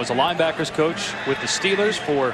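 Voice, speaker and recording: The speaker's tone is animated, with lively intonation, over noticeable background noise. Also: man. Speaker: play-by-play announcer. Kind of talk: live commentary. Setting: stadium broadcast. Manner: animated, rapid play-by-play delivery.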